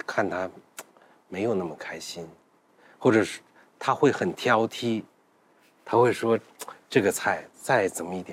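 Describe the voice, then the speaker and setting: A man with a normal speaking voice talks at a fairly slow pace and fairly low pitch, with ordinary pitch variation and big swings in loudness. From northern Anhui (Huaibei). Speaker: food documentary maker. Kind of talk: casual roundtable chat.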